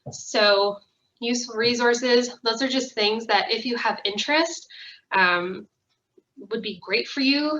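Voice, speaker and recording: Her intonation is lively as a woman speaks at a fairly high pitch. She talks at a fairly slow pace in a Canadian accent. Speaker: social worker. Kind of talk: recorded wellness presentation. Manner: loud; casual, filler-heavy.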